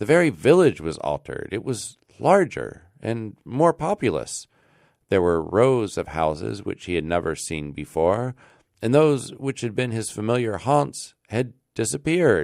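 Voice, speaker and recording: In a very clean recording with a silent background, a man with an American accent talks at a fairly slow pace, his medium pitch making very wide swings. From Alaska, United States. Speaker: radio presenter. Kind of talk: classic story reading.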